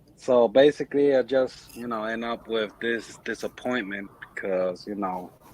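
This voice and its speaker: Against noticeable background noise, a man with an American accent speaks with ordinary pitch variation. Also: medium pitch for a man, moderate pace. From Chicago, US Midwest. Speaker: crypto investor. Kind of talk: casual chat.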